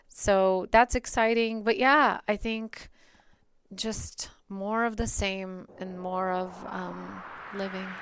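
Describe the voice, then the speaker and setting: A woman with a Bulgarian accent speaks at a very slow pace and medium pitch. Her intonation is fairly even, and the recording is very clean with a silent background. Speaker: marketing agency co-founder. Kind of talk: interview conversation.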